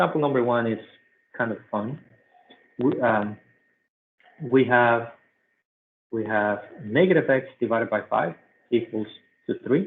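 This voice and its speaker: The speaker has a non-native accent and talks at a moderate pace. Pitch varies in an ordinary way, with long, frequent pauses. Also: man, medium pitch for a man. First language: not English. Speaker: math teacher. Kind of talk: tutorial.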